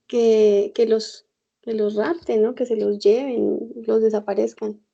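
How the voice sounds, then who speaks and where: A woman speaks very slowly in a fairly high voice, her tone dark and mellow and her intonation fairly even. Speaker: guest. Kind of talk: casual conversation. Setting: internet call.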